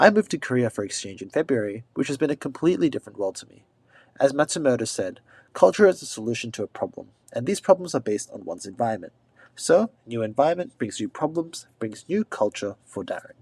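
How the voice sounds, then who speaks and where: Speaking at a very fast pace with an Australian accent, a man uses a fairly high pitch, very wide pitch swings and big swings in loudness, in a dry, close sound with no echo. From Australia, Sydney. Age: 20s. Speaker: exchange student vlogger. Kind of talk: scripted narration.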